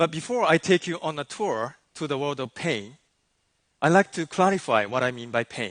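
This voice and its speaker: Against a quiet background, a man with a fairly high voice speaks at a moderate pace, his pitch swinging very widely in a dry, close sound with no echo. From Japan. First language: Japanese. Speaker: life coach. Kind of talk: keynote talk. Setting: stage with audience.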